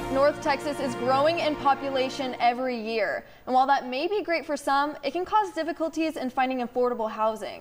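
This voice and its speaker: A woman's high-pitched voice with an upbeat tone over noticeable background noise. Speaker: news anchor and reporter. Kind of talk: TV news reporter read. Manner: upbeat, friendly.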